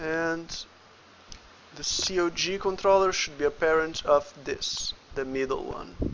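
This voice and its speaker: Noticeable background noise accompanies a man who talks at a fairly slow pace. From Brazil. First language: Portuguese. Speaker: indie game developer and 3D artist. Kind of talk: livestream tutorial. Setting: livestream at the computer. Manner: casual, thinking aloud; halting, with stutters.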